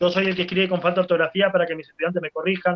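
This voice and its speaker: This is a man's voice. His pitch is high. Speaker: teacher. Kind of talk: talk to teachers with Q&A. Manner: fast; animated.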